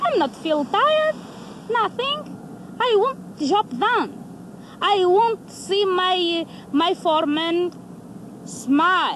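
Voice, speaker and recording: A woman's extremely high-pitched voice at a very slow pace, with very wide pitch swings, very even loudness, long and frequent pauses, and noticeable background noise. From Portugal. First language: Portuguese. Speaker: uranium mine worker. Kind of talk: documentary interview. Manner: halting.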